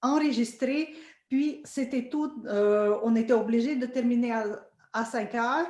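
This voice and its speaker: The speaker is a woman. Her voice carries audible room echo. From Russia, Saint Petersburg. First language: Russian (speaking French). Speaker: orchestra violinist. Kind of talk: interview conversation. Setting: video call. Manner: halting, many fillers.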